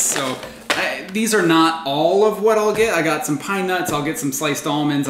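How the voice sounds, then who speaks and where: The speaker is a man. Noticeable background noise is present. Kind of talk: casual vlog chat. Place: kitchen.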